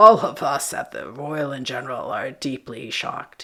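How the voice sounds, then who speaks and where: Putting on a raspy character voice, a woman speaks at a moderate pace with a very deep, low pitch and big swings in loudness. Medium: read story. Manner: smooth, officious.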